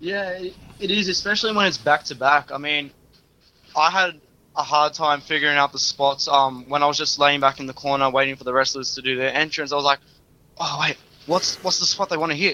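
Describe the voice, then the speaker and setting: Speaking in an Australian accent at a fairly quick pace, a man has a fairly high, bright and sharp voice with ordinary pitch variation. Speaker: wrestling trainee and referee. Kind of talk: interview.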